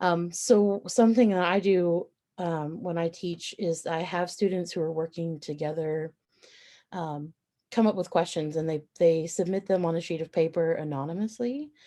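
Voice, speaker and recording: A woman talks with a fairly low pitch and ordinary pitch variation. Her tone is dark and mellow, and the background is quiet. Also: moderate pace. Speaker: college lecturer. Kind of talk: faculty training presentation. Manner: frequent fillers.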